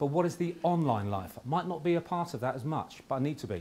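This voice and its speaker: Very wide pitch swings run through this man's speech. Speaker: conference speaker, former law enforcement. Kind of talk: conference presentation. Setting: conference room with audience. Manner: fast; hesitant, with fillers.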